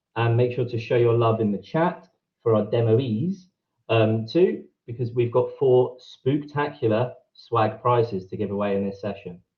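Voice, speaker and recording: In a British accent, a man of medium pitch speaks at a moderate pace, somewhat breathy, with ordinary pitch variation against a quiet background. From England, Brighton; England. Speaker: event co-host. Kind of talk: event hosting. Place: home room. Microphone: video call.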